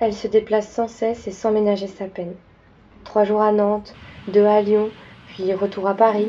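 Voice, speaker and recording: A woman speaks at medium pitch and a moderate pace, with noticeable background noise. Her intonation is monotone and flat. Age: 20s. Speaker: student filmmaker. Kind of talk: scripted narration.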